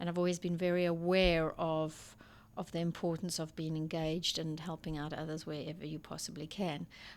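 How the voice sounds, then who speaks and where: Here a woman with a South African accent talks at a fairly quick pace in a fairly low pitch with monotone, flat intonation, on a very clean recording with a silent background. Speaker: school principal. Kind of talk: interview conversation. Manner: halting.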